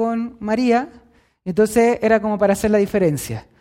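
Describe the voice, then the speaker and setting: A man with a Chilean accent speaks at a moderate pace in a high, dark and mellow voice, his intonation fairly even, on a very clean recording with a silent background. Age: 20s. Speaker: preacher. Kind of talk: sermon.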